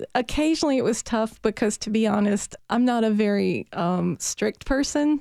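A dark, mellow voice with a Southern US accent flows with hardly any pauses and ordinary pitch variation. The very clean recording has a silent background and a dry, close sound with no echo. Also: woman, fairly high pitch for a woman, moderate pace. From US South, Virginia. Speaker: biology professor. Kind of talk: interview.

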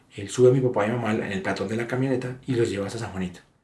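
A man speaks at medium pitch with fairly even intonation. Audible room echo surrounds his voice. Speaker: son of kidnapping victims. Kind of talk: testimony.

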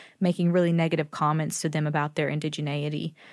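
A woman speaks with a slight Southern US accent at a fairly quick pace. The recording is very clean, with a silent background. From US South, North Carolina. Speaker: professor. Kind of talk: interview.

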